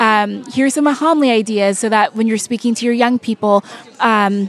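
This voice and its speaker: A woman talks with an American accent at a fairly high pitch. Her intonation stays fairly even over noticeable background noise. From California. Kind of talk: interview.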